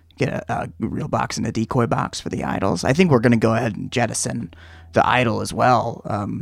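Someone puts on a raspy character voice and talks at a fairly quick pace. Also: man, medium pitch for a man. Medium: actual play. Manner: hesitant, stammering.

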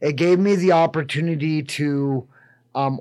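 Speaking very slowly with an American accent, a man holds a fairly high pitch and fairly even intonation. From Wyoming, US. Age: 40s. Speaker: church member and kitchen manager. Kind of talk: radio interview, life story testimony. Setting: radio studio.

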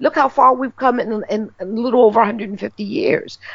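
Her voice has a slight breathiness. The woman talks with an American accent. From New York, Harlem. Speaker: magazine writer and cultural historian. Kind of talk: interview. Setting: phone call.

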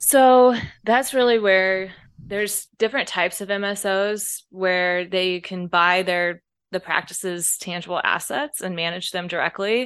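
With an American accent, a woman speaks at a fairly slow pace and medium pitch, using ordinary pitch variation against a quiet background. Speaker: healthcare accountant and financial consultant. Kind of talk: interview.

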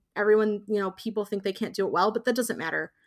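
A woman's voice at a medium pitch. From US Midwest (Indiana). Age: 30s. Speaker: professional miniatures painter. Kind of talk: casual interview. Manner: halting, many fillers.

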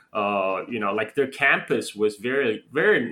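A man speaks with a Chinese accent. His pace is moderate. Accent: Chinese-accented American English. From China, then Chicago from eighth grade. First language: Mandarin Chinese. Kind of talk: casual conversation. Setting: remote call.

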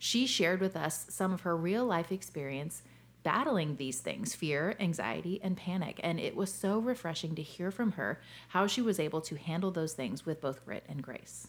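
Vocal fry runs through the speech, which has lively intonation. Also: woman, fairly low pitch for a woman, moderate pace. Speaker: podcast co-host. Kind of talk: casual chat. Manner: animated.

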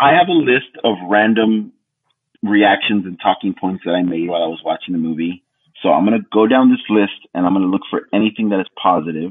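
Using an ordinary speaking voice, a man talks at a fairly quick pace. His pitch is fairly low, with ordinary pitch variation. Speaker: co-host and artist. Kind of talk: casual chat.

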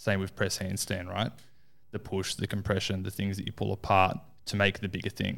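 In a very clean recording with a silent background, a man with an Australian accent talks at a fairly quick pace, fairly low in pitch with monotone, flat intonation. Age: 20s. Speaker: coach, former concreter. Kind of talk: casual chat.

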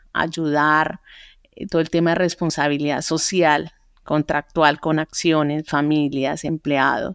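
A woman's fairly low voice at a fairly slow pace, dry and close with no echo, on a very clean recording with a silent background. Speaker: entrepreneur. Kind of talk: interview. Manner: halting.

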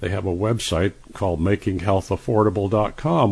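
A fairly low-pitched, somewhat breathy male voice at a moderate pace, with ordinary pitch variation. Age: 70s. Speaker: radio host and health author. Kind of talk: radio interview. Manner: halting, with frequent uh fillers.

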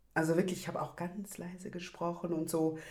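Someone speaks at a fairly quick pace with audible room echo. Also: woman. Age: 30s. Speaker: activist. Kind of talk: casual chat. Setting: video call.

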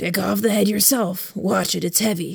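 A woman's gruff, gravelly, raspy put-on character voice at medium pitch, with fairly even intonation and a moderate pace. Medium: read story. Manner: terse, gruff.

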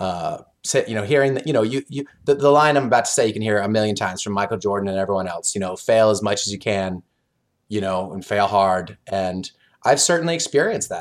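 Someone with an American accent talks at a very fast pace with lively intonation on a very clean recording with a silent background. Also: man, fairly low pitch for a man. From US, Oklahoma. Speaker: board game designer. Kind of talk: interview, casual chat.

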